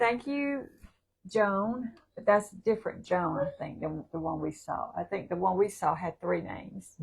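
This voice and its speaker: Lively intonation at a moderate pace, with big swings in loudness, a Southern US accent and a somewhat breathy quality. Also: woman, medium pitch for a woman. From South Carolina. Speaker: livestream co-host. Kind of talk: casual chat.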